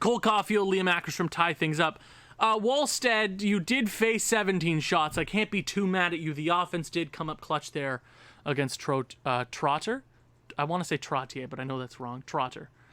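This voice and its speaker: Loud and high-pitched, a man speaks with lively intonation at a moderate pace in a very clean recording with a silent background. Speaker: gaming YouTuber. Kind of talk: video game commentary. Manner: animated.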